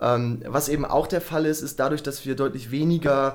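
A man with an ordinary speaking voice talks at a fairly quick pace, his fairly high pitch moving with ordinary variation. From Germany, Bremen. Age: 30s. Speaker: climate adaptation entrepreneur. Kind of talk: interview.

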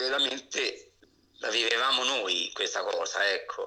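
The speaker is a man. His pace is fairly slow. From Abruzzo, Italy (province of L'Aquila). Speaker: retired firefighter. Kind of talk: casual interview.

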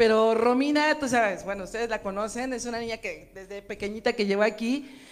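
A woman with an ordinary speaking voice talks fairly quickly at a fairly high pitch, hardly pausing at all. Her intonation is fairly even, and the recording is very clean with a silent background. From Mexico City. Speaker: singer. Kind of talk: casual chat.

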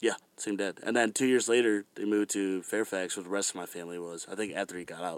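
Talking at a very fast pace, a man has an American accent and fairly even intonation. The recording is very clean, with a silent background. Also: dry, close sound with no echo. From Virginia. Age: 20s. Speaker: musician. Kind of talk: casual chat.

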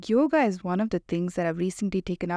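At a fairly quick pace, a woman speaks at a medium pitch with a dark, mellow tone and ordinary pitch variation, on a very clean recording with a silent background. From India. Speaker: staff writer. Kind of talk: casual chat.

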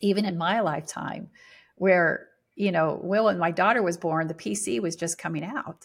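In an ordinary speaking voice with an American accent, the speaker talks at a moderate pace with ordinary pitch variation, in a very clean recording with a silent background. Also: woman, fairly low pitch for a woman. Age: 60s. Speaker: spiritual teacher. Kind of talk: interview.

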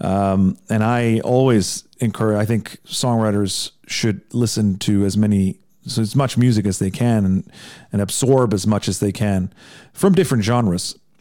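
A man's fairly low, dark, mellow voice with an American accent, fairly even intonation, very even loudness, and moderate pace, on a very clean recording with a silent background. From Iceland. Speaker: songwriter and podcaster. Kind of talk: casual interview chat.

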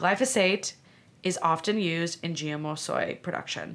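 A woman with an American accent in an ordinary speaking voice, on a very clean recording with a silent background. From US Midwest (Illinois). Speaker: medical doctor. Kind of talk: casual interview. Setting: in-person studio.

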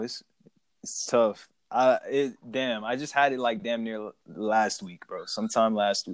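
A man with a plain, everyday voice speaks fairly slowly at a medium pitch, his intonation fairly even but his loudness swinging widely. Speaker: podcast host. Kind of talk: casual chat about wrestling. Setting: remote call recording.

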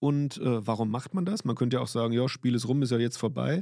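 With a dark, mellow tone, a man is heard in a very clean recording with a silent background and a dry, close sound free of echo. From Limburg, Hesse. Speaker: basketball referee. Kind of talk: interview. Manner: animated.

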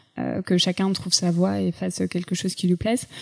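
Her tone dark and mellow, a woman speaks at a moderate pace and medium pitch. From Paris region, France. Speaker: entrepreneur. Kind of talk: interview conversation. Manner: hesitant, many fillers.

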